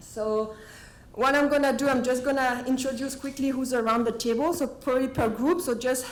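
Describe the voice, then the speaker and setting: Someone with a French accent speaks at a fairly quick pace with ordinary pitch variation, and the room echo is audible. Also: woman. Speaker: meeting facilitator. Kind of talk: meeting introduction. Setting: meeting room with table microphones. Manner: halting.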